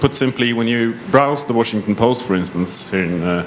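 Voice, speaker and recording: A man with a Norwegian accent, with noticeable background noise behind him. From Norway. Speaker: tech company panelist. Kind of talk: panel self-introduction.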